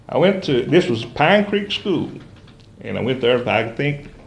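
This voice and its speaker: In an Appalachian accent, a man talks at a fairly slow pace. His pitch swings very widely, and the room echo is audible. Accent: Appalachian Southern US. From eastern Kentucky (Letcher County). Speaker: interview guest. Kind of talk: interview, life story. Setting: TV studio. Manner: hesitant, many fillers.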